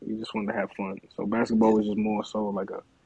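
Fairly quick and monotone, a man with an American accent speaks in a fairly low voice with flat intonation. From Connecticut, US (Bloomfield). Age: 30s. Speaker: rapper. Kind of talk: casual interview.

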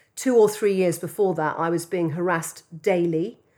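With an English accent, a woman talks at a moderate pace in a fairly low pitch and fairly even intonation, on a very clean recording with a silent background. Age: 50s. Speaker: advertising entrepreneur. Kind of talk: interview.

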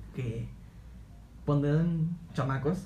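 A man's somewhat breathy, fairly high voice at a very slow pace, with ordinary pitch variation and audible room echo. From Mexico, Altamira, Tamaulipas. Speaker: podcast co-host. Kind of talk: casual chat.

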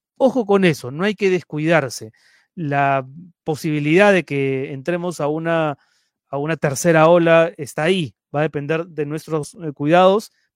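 At a fairly slow pace, a man with a normal speaking voice talks at a fairly high pitch with ordinary pitch variation, on a very clean, dry, close recording with no echo and a silent background. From Peru (Lima). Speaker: web news show host. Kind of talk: live stream news show. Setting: live stream broadcast.

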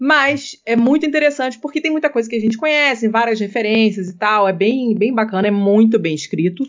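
Fairly quick and with hardly any pauses, a woman talks at a fairly high pitch with lively intonation. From Rio de Janeiro, Brazil. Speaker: podcaster. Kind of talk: casual chat. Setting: remote recording.

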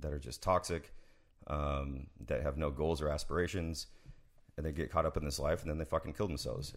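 A man's very deep, low voice with vocal fry and an American accent. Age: 30s. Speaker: military sniper veteran. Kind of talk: casual chat.

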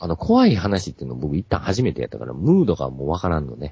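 The speaker is a man. He talks with a Kansai accent. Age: 40s. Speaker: podcast guest. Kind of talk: casual chat.

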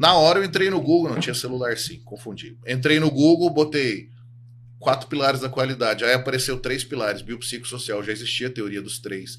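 Here a man talks at a fairly quick pace in a medium pitch, with ordinary pitch variation and big swings in loudness. It is a plain, everyday voice. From Minas Gerais, Brazil. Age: 30s. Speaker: sports psychologist. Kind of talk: casual interview chat.

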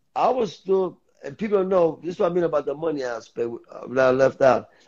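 A man's high-pitched voice in a New York accent, with ordinary pitch variation and a moderate pace. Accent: New York City. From New York City, the Bronx. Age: 50s. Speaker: former streetball player. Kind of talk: casual chat.

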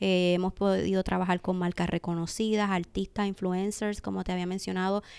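A woman speaks at a fairly quick pace with hardly any pauses, her medium-pitched voice monotone and flat in intonation, on a very clean recording with a silent background. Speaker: e-commerce specialist and entrepreneur. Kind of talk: interview.

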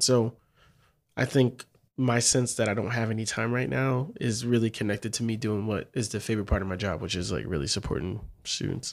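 Speaking at a fairly quick pace, a man with a medium-pitched voice shows vocal fry on a very clean recording with a silent background. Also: ordinary pitch variation. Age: 40s. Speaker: professor and podcast co-host. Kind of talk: casual chat. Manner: animated.

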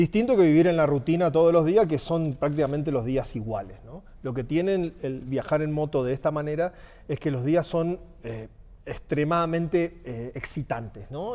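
In an Argentine accent, a man speaks with a dark, mellow tone at a fairly high pitch, his pitch varying in an ordinary way. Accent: Argentine Spanish (voseo). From Argentina. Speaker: motorcycle traveler. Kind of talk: casual chat.

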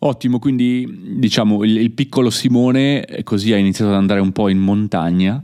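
A plain, everyday voice moves at a moderate pace with hardly any pauses, very even loudness and ordinary pitch variation. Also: man, fairly low pitch for a man, very clean recording, silent background. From Italy. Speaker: podcast host, Italian teacher. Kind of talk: casual interview for learners. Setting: recording at family home in Italy.

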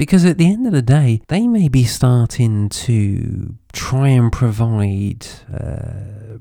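At a very slow pace, a man with a British accent speaks in a dark, mellow tone. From UK. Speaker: podcast host. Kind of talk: unscripted solo podcast monologue. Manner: frequent repetitions and fillers.

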